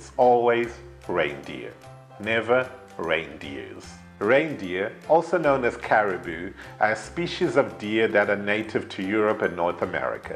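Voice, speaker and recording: In a British accent, a man speaks at a fairly low pitch with faint music in the background. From United Kingdom. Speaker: English teacher. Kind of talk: ESL lesson to camera. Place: studio. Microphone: lapel.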